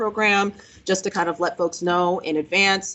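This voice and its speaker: A woman, medium in pitch, talks at a fairly quick pace. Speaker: government official. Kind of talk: presentation. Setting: workshop with audience. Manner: loud. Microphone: no microphone.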